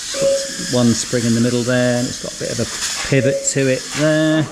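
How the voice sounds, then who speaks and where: At a fairly quick pace, a man speaks with a medium pitch. Audible room echo and noticeable background noise are present. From UK. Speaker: RC hobby youtuber. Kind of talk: casual video presentation. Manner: relaxed, conversational.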